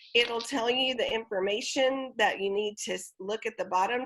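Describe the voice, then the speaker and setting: A plain, everyday voice from a woman, fairly high in pitch, at a moderate pace with ordinary pitch variation. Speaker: theatre event coordinator. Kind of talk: online presentation walkthrough.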